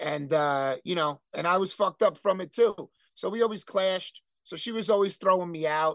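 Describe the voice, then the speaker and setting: With a New Jersey accent, a man with a high pitch speaks with ordinary pitch variation, recorded dry and close with no echo against a quiet background. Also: moderate pace. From New Jersey, Elizabeth. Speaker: hardcore band vocalist. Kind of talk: casual chat. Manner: animated.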